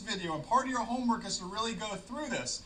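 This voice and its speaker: The voice is raised and projected over noticeable background noise. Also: man. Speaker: flight ground school instructor. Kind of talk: tutorial. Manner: fast.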